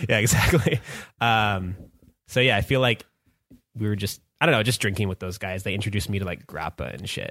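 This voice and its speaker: In a western Canadian accent, the speaker moves at a fairly quick pace with ordinary pitch variation. Long, frequent pauses break up the speech. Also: man, fairly low pitch for a man. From Canada, Vancouver area. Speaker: music producer. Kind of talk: casual chat.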